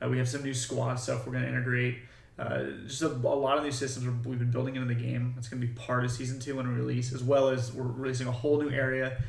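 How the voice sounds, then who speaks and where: Rushing at a very fast pace with hardly any pauses, a man speaks at medium pitch in a monotone, flat delivery, with noticeable background noise and audible room echo. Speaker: game developer. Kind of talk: livestream devlog update. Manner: casual, many fillers.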